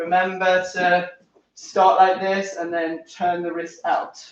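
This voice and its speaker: Audible room echo surrounds a man speaking. He has a high pitch and a northern English accent. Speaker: tennis coach. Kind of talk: tutorial. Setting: live stream at home. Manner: animated.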